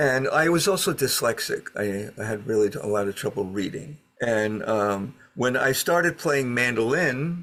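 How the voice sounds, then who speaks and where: A man speaks with a New York accent at a moderate pace. His pitch sits in the medium range, and his intonation is lively. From Brooklyn, New York City. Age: 70s. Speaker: fiddler. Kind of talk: interview storytelling.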